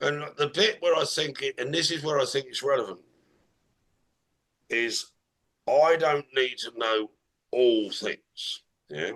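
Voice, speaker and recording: With an English accent, a man talks in a bright, sharp tone at a fairly high pitch, his intonation lively. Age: 60s. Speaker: business strategist. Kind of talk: casual conversation.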